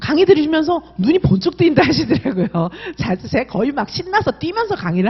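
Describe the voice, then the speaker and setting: A woman's animated tone, very wide pitch swings and fairly quick pace over noticeable background noise. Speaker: exam prep instructor. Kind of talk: sales pitch.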